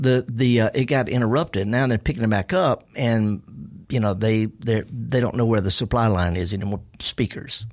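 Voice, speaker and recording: A man with a Mississippi accent at a medium pitch and moderate pace, with ordinary pitch variation and very even loudness, on a very clean recording with a silent background. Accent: Mississippi Southern. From US South, Mississippi. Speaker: horticulturist and gardening radio host. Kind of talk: casual interview. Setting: radio studio. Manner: halting, repeating words.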